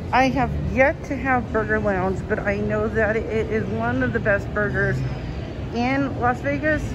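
The speech runs at a moderate pace beneath loud background noise. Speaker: vlogger touring a casino. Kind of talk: casual vlog chat. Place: hall. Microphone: phone near.

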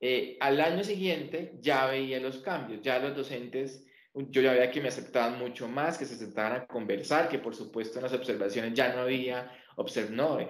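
A man's medium-pitched voice at a moderate pace, with audible room echo. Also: ordinary pitch variation.

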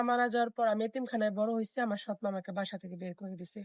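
A woman speaks in an unremarkable speaking voice, pitched fairly high with fairly even intonation. The sound is dry and close, with no echo. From Thakurgaon, northern Bangladesh. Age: 20s. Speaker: marriage seeker. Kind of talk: interview. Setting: on camera.

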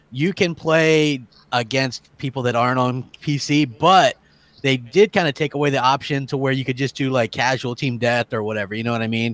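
At a medium pitch, a man uses a normal speaking voice with ordinary pitch variation. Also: moderate pace. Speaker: gaming podcast panelist. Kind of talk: casual chat.

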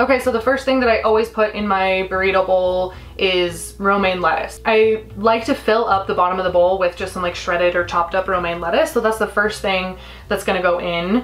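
With ordinary movement in her pitch, a woman speaks fairly quickly. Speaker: cooking vlogger. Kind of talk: tutorial. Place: kitchen. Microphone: camera far.

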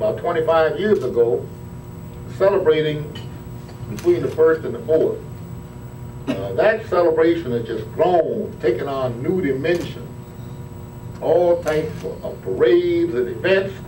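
A man at a moderate pace, with long, frequent pauses, audible room echo and light background noise. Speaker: city official addressing reporters. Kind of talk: speech to press. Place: hall. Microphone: podium.

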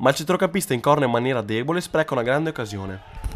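His pitch fairly high for a man, a man talks at a very fast pace with very wide pitch swings. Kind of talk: sports commentary. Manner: brisk, fluent play-by-play delivery.

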